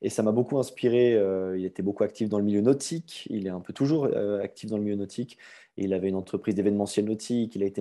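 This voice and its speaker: Over a quiet background, a man with a Swiss accent talks at a fairly quick pace in a fairly low pitch. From Switzerland, Vaud (near Aubonne). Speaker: gym owner. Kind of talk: podcast interview.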